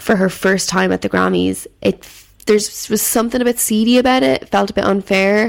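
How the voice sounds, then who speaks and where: This woman speaks with an Irish accent. Her pace is moderate and her pitch varies in an ordinary way. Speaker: podcast host. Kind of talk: casual solo commentary.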